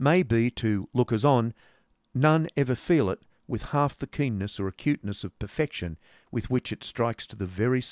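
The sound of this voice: An unforced reading voice carries this clip.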